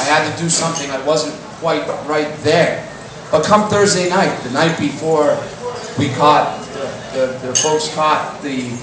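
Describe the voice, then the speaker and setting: A man at a fairly high pitch and moderate pace, over noticeable background noise. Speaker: spoken word poet. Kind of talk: spoken word poetry performance. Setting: live stage.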